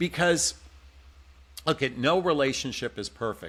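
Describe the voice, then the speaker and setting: This man's voice has a bright, sharp tone. The recording is very clean, with a silent background. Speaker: dating and relationship coach. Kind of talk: podcast interview. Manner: loud, passionate.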